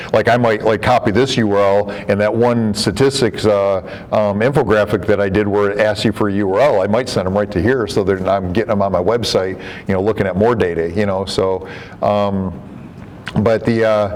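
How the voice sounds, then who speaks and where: A man's fairly low voice at a fairly quick pace, with fairly even intonation, very even loudness and noticeable background noise. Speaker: software developer and trainer, former real estate broker. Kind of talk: software training presentation. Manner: fast; filler-heavy, many repetitions.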